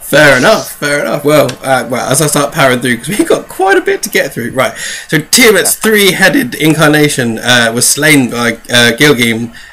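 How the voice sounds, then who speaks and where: A man with a fairly high-pitched voice talks at a moderate pace with hardly any pauses. His intonation is lively, and there is noticeable background noise. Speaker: tabletop gaming lore podcast host. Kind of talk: casual chat.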